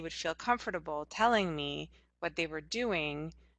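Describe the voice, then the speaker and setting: With a Hungarian accent, a woman speaks at a moderate pace in a fairly low pitch. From Hungary. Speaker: anthropologist. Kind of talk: interview.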